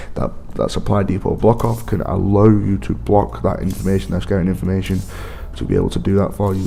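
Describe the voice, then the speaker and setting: A man with a very deep, low voice speaks at a moderate pace with very wide pitch swings, amid audible room echo and music in the background. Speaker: gaming video creator. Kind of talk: gameplay commentary.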